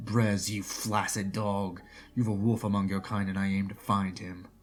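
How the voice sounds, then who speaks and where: A man puts on a booming character voice at a fairly low pitch. His intonation is flat and monotone, at a moderate pace. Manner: aggressive, shouting, mocking.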